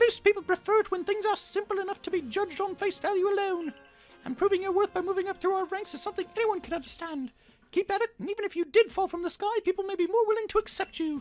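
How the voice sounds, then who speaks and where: In a squeaky, put-on character voice, a man talks very fast at an extremely high pitch. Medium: game stream. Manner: formal, stern.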